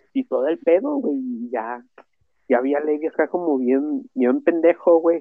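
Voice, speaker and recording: A man talks at a fairly slow pace in a fairly high voice, his pitch swinging very widely. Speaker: podcast co-host. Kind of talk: casual chat.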